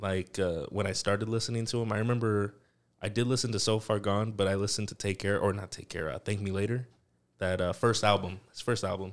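At a very fast pace, a man talks in a fairly low pitch with fairly even intonation, in a very clean recording with a silent background. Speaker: recording artist. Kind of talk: casual chat.

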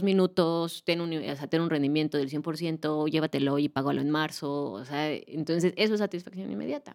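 A woman with a very deep, low pitch and ordinary pitch variation talks at a moderate pace, captured on a very clean recording with a silent background. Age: 30s. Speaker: financial educator. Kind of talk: interview.

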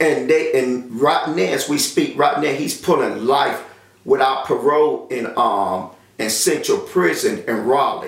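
A man with a North Carolina accent speaks at a fairly slow pace. There is audible room echo and noticeable background noise. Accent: Southern US, North Carolina. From US South, rural North Carolina. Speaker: testimony giver. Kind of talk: personal testimony. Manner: halting, many filler sounds.

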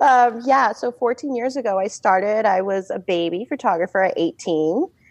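A woman at a moderate pace, dry and close with no echo, over noticeable background noise. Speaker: wedding photographer. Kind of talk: interview podcast.

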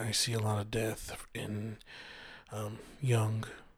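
A man speaks in a somewhat breathy voice with fairly low pitch. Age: 30s. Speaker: podcast host. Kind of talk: casual monologue. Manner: hesitant, many fillers.

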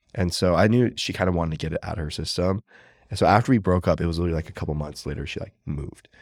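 In an American accent, the speaker goes at a very fast pace on a very clean recording with a silent background. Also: man, very deep, low pitch for a man, ordinary pitch variation. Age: 30s. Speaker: lawyer and reality show contestant. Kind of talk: casual chat.

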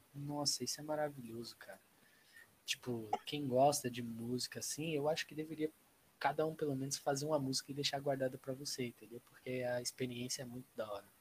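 This voice sounds somewhat breathy. Its intonation is monotone and flat. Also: man, fairly high pitch for a man, fairly quick pace. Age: 20s. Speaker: interior design student and amateur rapper. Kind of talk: casual chat.

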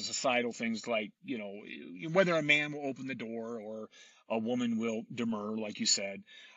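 Moderate pace and medium pitch from a man, an unremarkable speaking voice with ordinary pitch variation. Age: 40s. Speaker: podcast host, tech conference organizer. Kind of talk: interview conversation.

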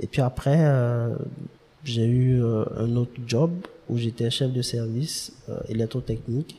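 Speaking at a very slow pace, a man has a somewhat breathy voice, a dark, mellow tone and fairly even intonation. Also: medium pitch for a man. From Ivory Coast, Abidjan. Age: young. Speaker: start-up founder. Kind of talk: interview.

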